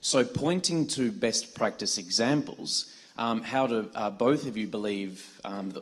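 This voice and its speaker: A man with an Australian accent. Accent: Australian accent, noticeable. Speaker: audience member asking a question. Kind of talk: audience question at a public talk. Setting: event hall with audience. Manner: hesitant, many fillers.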